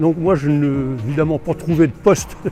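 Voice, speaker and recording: A man is speaking. Music plays in the background. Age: 70s. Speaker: retired carpentry apprentice. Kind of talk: interview answer.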